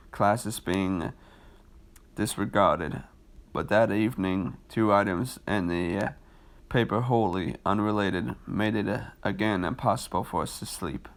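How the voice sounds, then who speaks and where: Vocal fry marks this man's fairly low-pitched voice, with ordinary pitch variation at a fairly slow pace. The recording is very clean, with a silent background. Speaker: amateur horror writer reading stories aloud. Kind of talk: reading aloud. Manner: halting, stumbles over words.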